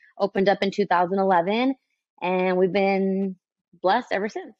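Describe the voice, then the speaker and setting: A woman at medium pitch with an American accent. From Santa Ana, California. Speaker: boxing gym owner and coach. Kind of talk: casual interview chat.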